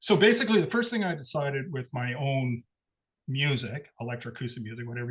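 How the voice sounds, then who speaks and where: A somewhat breathy male voice against a quiet background. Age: 60s. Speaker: composer. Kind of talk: talk to a live audience. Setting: live event with audience. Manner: halting.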